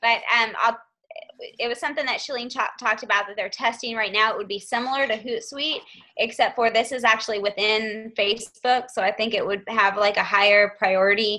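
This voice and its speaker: A woman speaks fairly quickly at a fairly high pitch, her intonation fairly even. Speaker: team leader hosting a group call. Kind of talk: team conference call. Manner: fast.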